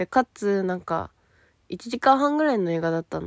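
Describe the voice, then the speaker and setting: Fairly quick and animated, a woman speaks with lively intonation. The sound is dry and close, with no echo. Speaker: solo podcaster. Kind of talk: casual monologue.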